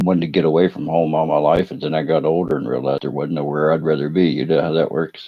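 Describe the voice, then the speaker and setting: A man with a strong Appalachian accent, a very deep, low pitch, fairly even intonation and a very fast pace. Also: hardly any pauses. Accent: strong Appalachian rural. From West Virginia, Appalachia. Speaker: fireworks streamer. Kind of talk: casual live stream chat.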